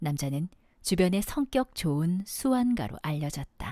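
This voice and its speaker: In a very clean recording with a silent background and a dry, close sound with no echo, a woman speaks at a fairly slow pace and fairly low pitch, somewhat breathy, with a dark, mellow tone and very wide pitch swings. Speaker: aspiring voice actor. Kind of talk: audiobook fiction reading.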